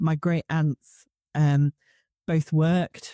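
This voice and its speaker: A woman with a slight northeast English accent has a dark, mellow tone. The recording is very clean and dry, close with no echo, with a silent background. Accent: slight northeast English twang. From Newcastle, northeast England. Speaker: conference speaker. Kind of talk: casual interview chat.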